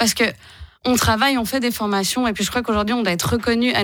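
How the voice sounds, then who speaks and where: A woman with a fairly high pitch talks with fairly even intonation. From Switzerland, Geneva. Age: 30s. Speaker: political candidate. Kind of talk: radio interview. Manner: halting.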